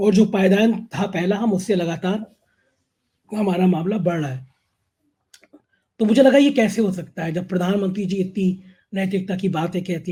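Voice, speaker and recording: The speaker is a man with a high pitch and a dark, mellow tone. He talks fairly slowly, his pitch varying an ordinary amount. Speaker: news channel host. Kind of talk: political interview and monologue.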